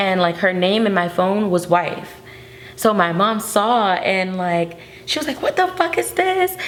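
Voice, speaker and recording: A woman talks at a fairly slow pace and a medium pitch. Noticeable background noise runs behind her. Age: 20s. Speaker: artist. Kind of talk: interview. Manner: casual, filler-heavy.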